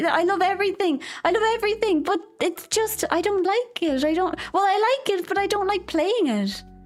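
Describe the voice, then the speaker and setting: This woman speaks with an Irish accent at an extremely high pitch. Her pace is moderate, and her pitch swings very widely. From Ireland. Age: 20s. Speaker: vtuber streamer. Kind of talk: casual chat. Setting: live stream. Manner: animated.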